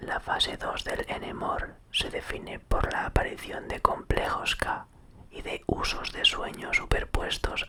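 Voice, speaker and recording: Whispering at a fairly slow pace is heard over noticeable background noise. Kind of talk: whispered ASMR reading of an encyclopedia article, sleep aid. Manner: whispered.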